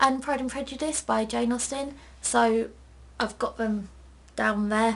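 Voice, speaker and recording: A woman with a South East London accent, at a fairly slow pace. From South East London, England. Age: 19. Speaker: book vlogger. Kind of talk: casual Q&A vlog. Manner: chatty.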